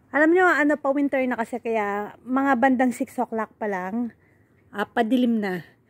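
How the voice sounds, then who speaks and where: Fairly high in pitch with ordinary variation, a woman speaks at a fairly slow pace in a dry, close sound with no echo. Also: long, frequent pauses. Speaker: vlogger. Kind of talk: casual vlog chat. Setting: in a car.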